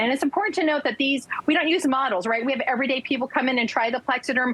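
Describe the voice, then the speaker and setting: An animated tone over noticeable background noise. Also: woman. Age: 60s. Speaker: product spokesperson. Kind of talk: sales pitch.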